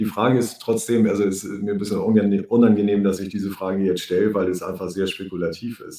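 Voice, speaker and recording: A man speaks quite quickly in a dark, mellow tone, his fairly low voice held to a flat, monotone delivery. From Germany. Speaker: podcast host, economist. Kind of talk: interview.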